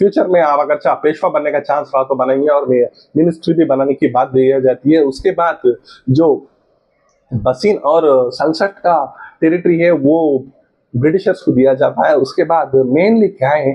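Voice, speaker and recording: A man speaks at a fairly high pitch with ordinary pitch variation. His loudness is very even, and he leaves long, frequent pauses. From South India. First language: a South Indian language, not Hindi (speaking Hindi). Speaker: history educator, YouTuber. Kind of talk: lecture. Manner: halting, many fillers.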